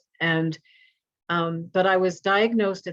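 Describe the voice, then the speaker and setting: Using a normal speaking voice, a woman talks at a fairly slow pace with a medium pitch. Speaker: poet and memoirist. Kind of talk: interview answer.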